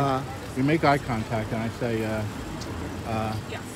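Noticeable background noise behind a man's dry voice, with no echo. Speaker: street evangelist filming. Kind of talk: casual storytelling. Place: street.

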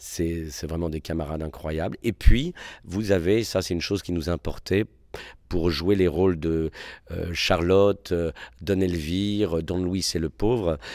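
A man speaks at a fairly slow pace with a very deep, low pitch and fairly even intonation, in a dry sound with no echo against a quiet background. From Réunion. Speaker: theatre director and actor; actor. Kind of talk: interview. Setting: theatre. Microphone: handheld.

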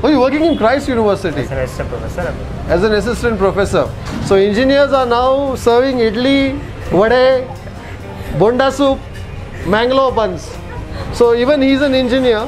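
Long, frequent pauses break up the speech over clear music in the background. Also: moderate pace. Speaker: food vlogger host. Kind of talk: casual vlog commentary. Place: shop.

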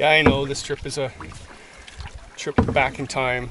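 Loud noise in the background surrounds a man's voice throughout the clip. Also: dry sound with no echo. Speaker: canoe trip vlogger. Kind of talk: casual vlog chat. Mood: relaxed, reflective. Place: boat.

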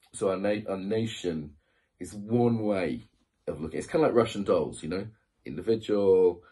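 With a British accent, a man speaks fairly quickly in a fairly low, dark and mellow voice against a quiet background. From UK. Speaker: YouTuber. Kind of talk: video monologue. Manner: casual, conversational. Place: home room. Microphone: phone near.

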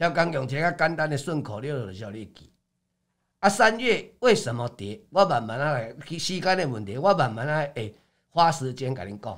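A man's fairly high voice with very wide pitch swings, big swings in loudness, a moderate pace and a quiet background. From Taiwan. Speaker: stock market commentator; stock market analyst. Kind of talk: market analysis livestream. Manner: filler-heavy, frequent 哦 and 啊; animated. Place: studio.

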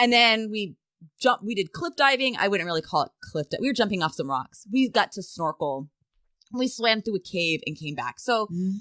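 With a General American accent, a woman speaks at a moderate pace and medium pitch in a bright, sharp tone with very wide pitch swings, the sound dry and close with no echo in a very clean recording with a silent background. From US West (Southern California). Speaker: self-defense instructor. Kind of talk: interview conversation. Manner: confident.

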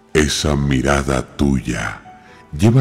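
Backed by music, a man with a very deep, low pitch speaks with lively intonation. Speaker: poetry reciter. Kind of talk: poetry reading.

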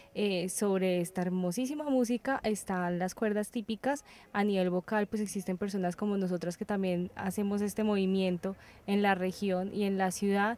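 With very even loudness and a dry sound with no echo, a woman speaks at a moderate pace and medium pitch in a dark, mellow tone with fairly even intonation. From Colombia. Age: 20s. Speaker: singer. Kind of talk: interview. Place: street. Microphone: handheld.

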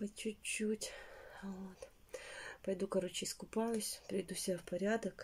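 A woman speaks fairly slowly in a somewhat breathy voice, her intonation monotone and flat. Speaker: lifestyle vlogger; vlogger. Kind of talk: casual vlog monologue. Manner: chatty, filler-heavy. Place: home room. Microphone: phone near.

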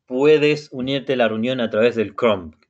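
The speaker has a Rioplatense accent. The background is quiet. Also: man. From Uruguay. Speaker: native-speaker language facilitator. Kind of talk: online language class. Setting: video call. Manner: halting. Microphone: video call.

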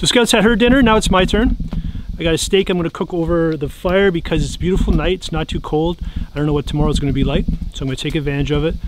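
A man talks at a very fast pace with a high pitch and ordinary pitch variation, the sound dry with no echo but with noticeable background noise. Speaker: outdoor camping vlogger. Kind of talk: casual vlog chat. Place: forest.

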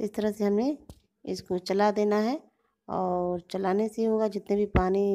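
The background is quiet as a woman speaks at a fairly slow pace, her pitch varying in an ordinary way. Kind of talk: tutorial. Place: kitchen.

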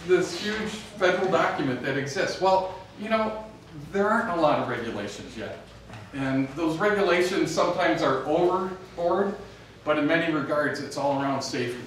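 The speech moves at a moderate pace, with light background noise and audible room echo. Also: man, high pitch for a man. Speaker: presenter. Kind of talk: presentation talk. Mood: upbeat, joking. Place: hall.

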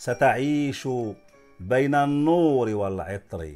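Faint music sits behind a man who speaks at a very slow pace with lively intonation. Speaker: academic, doctor of law and literature. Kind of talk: poetry reading. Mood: calm, expressive. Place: garden. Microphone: phone near.

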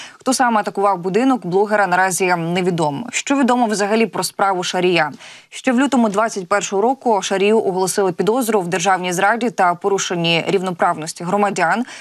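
An unremarkable speaking voice at a fairly quick pace, with ordinary pitch variation, very even loudness and a quiet background. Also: woman, medium pitch for a woman. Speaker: news anchor. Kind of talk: live news broadcast. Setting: TV studio. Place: studio. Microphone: lapel.

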